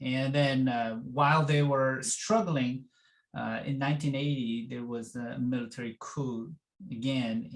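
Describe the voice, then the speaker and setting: A man with a Korean accent at a fairly slow pace. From South Korea. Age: 50s. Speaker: education professor. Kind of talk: interview. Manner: halting, many fillers.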